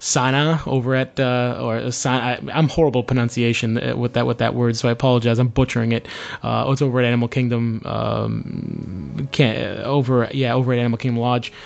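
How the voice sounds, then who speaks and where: Over music in the background, a man with a Boston accent and medium pitch talks at a fairly quick pace with hardly any pauses and monotone, flat intonation. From US Northeast, Boston. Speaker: podcast host. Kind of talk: casual chat. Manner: halting, many fillers.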